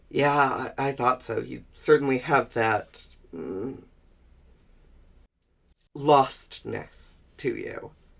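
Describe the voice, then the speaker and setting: A man does a raspy put-on character voice at medium pitch. He goes at a very slow pace with long, frequent pauses. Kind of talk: audio roleplay. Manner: hesitant, stammering.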